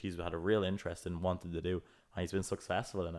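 This man has a very deep, low pitch and an Irish accent. He speaks at a very fast pace. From Ireland. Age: 20s. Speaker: podcast co-host, student entrepreneur. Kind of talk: casual chat.

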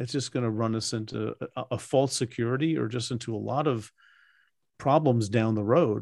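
A normal speaking voice with ordinary pitch variation at a moderate pace. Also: man. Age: 60s. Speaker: Bible scholar and podcast host. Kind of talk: interview. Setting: video call.

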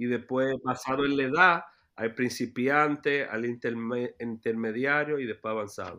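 Over a quiet background, a man talks at medium pitch with a bright, sharp tone. His delivery is fairly slow, with fairly even intonation. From New York City, Washington Heights. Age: 30s. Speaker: youth basketball program director. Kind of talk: interview. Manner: halting, many repetitions.

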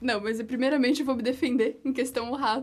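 The woman's high-pitched voice stays monotone, with flat intonation. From Florianópolis, southern Brazil. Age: 20s. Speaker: university student, roundtable panelist. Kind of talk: casual roundtable chat.

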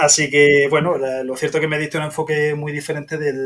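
Very fast and in a monotone, flat intonation, a man talks with a fairly high pitch. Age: 40s. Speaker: software developer, podcast listener. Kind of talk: interview.

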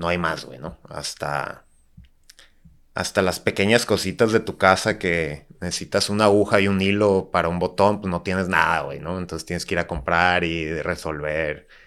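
A man speaks with a very deep, low pitch and ordinary pitch variation at a moderate pace. The recording is very clean, with a silent background. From Tijuana, Mexico. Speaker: architect and bar entrepreneur. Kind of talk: casual chat.

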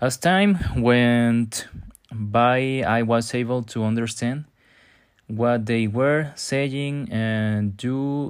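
The speaker has a Spanish accent and ordinary pitch variation. The recording is very clean, with a silent background. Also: man. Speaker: podcaster. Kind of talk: monologue on a topic, partly read from notes. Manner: halting, with fillers.

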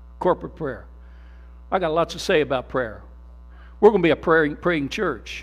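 A man's voice is animated and fairly high, with vocal fry. The recording is very clean with a silent background. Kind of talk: sermon, preacher in full flow. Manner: animated, call-and-response, urging the congregation to say amen; repetitive, emphatic, punching key words with rhetorical questions.

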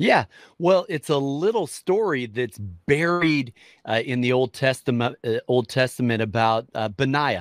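A normal speaking voice with an American accent and lively intonation. The recording is very clean, dry and close, with a silent background and no echo. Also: man, medium pitch for a man, fairly slow pace. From US Midwest, Minnesota. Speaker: pastor. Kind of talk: interview.

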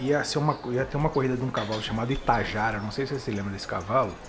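A man's unremarkable speaking voice, medium in pitch, with lively intonation. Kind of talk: casual chat, storytelling.

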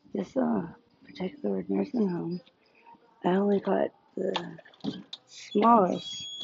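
A woman with an American accent speaks at a moderate pace, leaving long, frequent pauses. Noticeable background noise runs behind her. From US South, South Louisiana. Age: 40s. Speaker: podcaster, food delivery driver. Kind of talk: casual monologue while driving. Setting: in a car, on the road. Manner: halting, many fillers.

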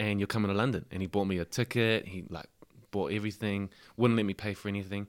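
Speaking with a New Zealand accent, a man rushes along at a very fast pace in a fairly low voice, captured in a very clean recording with a silent background. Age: 20s. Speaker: rugby player. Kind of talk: casual chat. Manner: animated.

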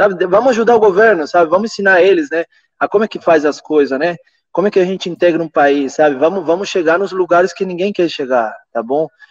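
A high-pitched man speaks at a very fast pace, the sound dry and close with no echo. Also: ordinary pitch variation. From Venezuela. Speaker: permaculturist and eco-builder. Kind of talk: casual chat.

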